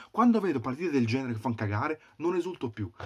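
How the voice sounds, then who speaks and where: A man is shouting at a very fast pace with very wide pitch swings. The background is quiet. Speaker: football fan vlogger. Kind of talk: angry rant, furious fan tirade. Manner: shouting, furious, ranting; repetitive, exasperated, swearing. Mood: angry, frustrated. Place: home room. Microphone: webcam.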